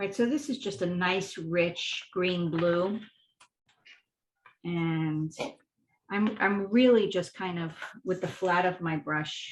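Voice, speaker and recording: A woman at medium pitch, very slow pace, long and frequent pauses, ordinary pitch variation. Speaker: art instructor. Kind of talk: tutorial.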